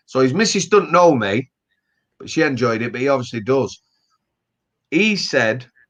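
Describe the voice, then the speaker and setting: Speaking at a moderate pace with a Yorkshire accent, a man at medium pitch makes very wide pitch swings and big swings in loudness, with long, frequent pauses. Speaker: author. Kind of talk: casual chat.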